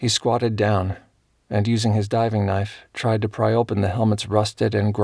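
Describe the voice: The clip consists of plain reading aloud.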